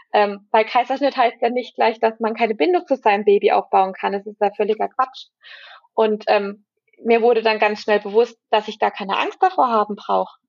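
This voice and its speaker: With an unremarkable speaking voice, a woman talks at a moderate pace, her fairly high pitch showing ordinary pitch variation. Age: 20s. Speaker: pregnant mother, course graduate. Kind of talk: personal testimony in interview.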